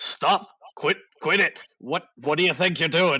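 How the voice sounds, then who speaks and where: Here a man puts on a character voice with a high pitch. He speaks at a fairly slow pace. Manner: angry, shouting, indignant.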